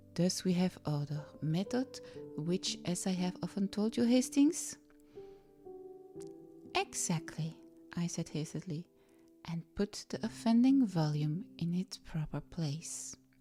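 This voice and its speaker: Calm and soothing, the voice moves at a very slow pace with long, frequent pauses. Music plays in the background. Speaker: audiobook narrator. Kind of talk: audiobook narration of a classic mystery, read as a sleep and relaxation story. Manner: calm, soothing, relaxed.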